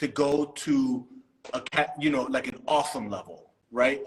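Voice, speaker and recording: Speaking with an American accent, a man uses a plain, everyday voice with lively intonation at a moderate pace. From US East Coast. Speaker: podcast host. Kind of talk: interview. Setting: live stream.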